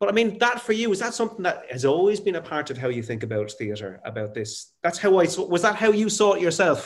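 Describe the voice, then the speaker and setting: Very fast and high-pitched, a man with an Irish accent speaks with very wide pitch swings. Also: hardly any pauses. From Ireland, Waterford. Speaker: actor and interviewer. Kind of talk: casual chat. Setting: video call.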